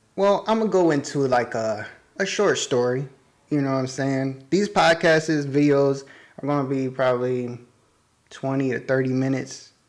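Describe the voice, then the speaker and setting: At a moderate pace, a man with a fairly high pitch talks with ordinary pitch variation. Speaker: YouTuber and podcast host. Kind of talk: casual solo podcast monologue. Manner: rambling, casual.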